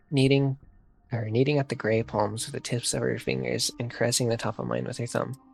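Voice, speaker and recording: With music in the background, a man talks at a fairly quick pace in a medium pitch. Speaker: gaming streamer reading a visual novel. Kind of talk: reading aloud. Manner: fast, with frequent stumbles; halting.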